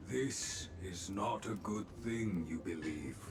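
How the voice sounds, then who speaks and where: Over loud background noise, a man does a put-on character voice at a very slow pace with a very deep, low pitch. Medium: video game. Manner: inverted word order, measured.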